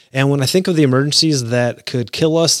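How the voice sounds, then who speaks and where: An unremarkable speaking voice at a fairly quick pace with ordinary pitch variation, in a very clean recording with a silent background. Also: man. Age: 40s. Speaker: podcast host and paramedic firefighter. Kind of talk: solo podcast talk on emergency preparedness.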